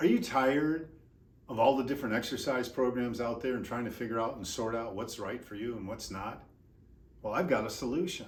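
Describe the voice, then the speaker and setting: A man speaks at a medium pitch, somewhat breathy. There is audible room echo. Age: 60s. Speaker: exercise physiologist and movement coach. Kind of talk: instructional tutorial. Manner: energetic, informal.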